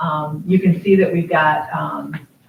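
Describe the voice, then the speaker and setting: A woman's fairly low voice with fairly even intonation, against noticeable background noise. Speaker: school district administrator. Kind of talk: board meeting report. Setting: public board meeting. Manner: loud; halting, many fillers.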